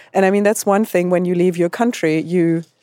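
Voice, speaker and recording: A woman's dark, mellow voice at a fairly low pitch, with a German accent and a dry, close sound with no echo. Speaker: advertising creative. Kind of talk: panel discussion.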